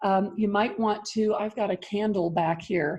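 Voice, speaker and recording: A woman's somewhat breathy voice, dark and mellow in tone, at medium pitch with fairly even intonation and a moderate pace. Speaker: ministry leader and parenting coach. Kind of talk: guided grounding exercise. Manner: calm, instructive.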